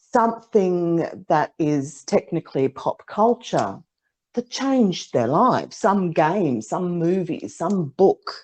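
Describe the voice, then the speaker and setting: A woman talks at a fairly slow pace in a fairly low voice. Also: dry, close sound with no echo. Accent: Australian. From Australia. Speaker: psychic, podcast co-host. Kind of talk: casual chat.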